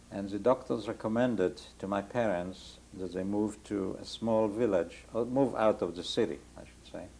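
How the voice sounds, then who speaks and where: Speaking at a moderate pace in a Polish accent, a man has a fairly low pitch, a dark, mellow tone and fairly even intonation. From Poland (Warsaw area). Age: 60s. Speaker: Holocaust survivor. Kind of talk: oral history interview. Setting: home interview, rain on skylight.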